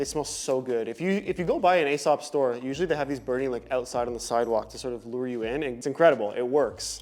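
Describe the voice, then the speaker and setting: A man speaks in an animated tone at a very fast pace with hardly any pauses. His pitch is medium with ordinary variation, and music plays in the background. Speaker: lifestyle vlogger. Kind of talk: product review vlog.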